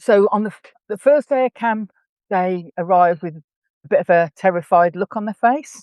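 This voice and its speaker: With an English accent, a woman speaks at a medium pitch and a moderate pace. Her loudness swings widely while her pitch varies in an ordinary way. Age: 60s. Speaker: horse camp organiser and equestrian. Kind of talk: podcast interview.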